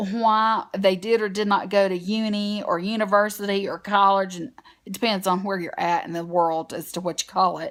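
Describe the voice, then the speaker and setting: At a moderate pace, a woman with a strong Southern US accent speaks in a monotone, flat intonation at medium pitch, captured in a very clean recording with a silent background. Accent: strong Southern US twang. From US South. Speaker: beauty vlogger. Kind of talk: casual vlog talk to camera. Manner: chatty, with many fillers.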